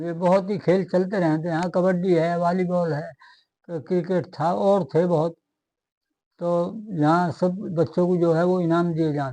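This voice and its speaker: In a quiet background, a man speaks with a high pitch and a dark, mellow tone. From Tera village, western Uttar Pradesh, India. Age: 70s. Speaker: village elder. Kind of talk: interview. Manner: hesitant, filler-heavy.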